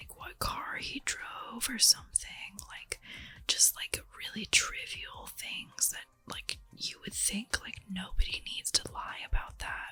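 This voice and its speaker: Music is heard in the background. A woman whispers very slowly. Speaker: ASMR creator. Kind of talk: ASMR just chatting, casual talk about a reality TV show. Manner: whispered, soft-spoken, chatty.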